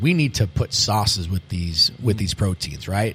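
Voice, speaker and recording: A man at a moderate pace, somewhat breathy, with an American accent and very wide pitch swings. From Massachusetts (Medford, Boston area). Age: 40s. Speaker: restaurant owner and chef. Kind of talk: interview.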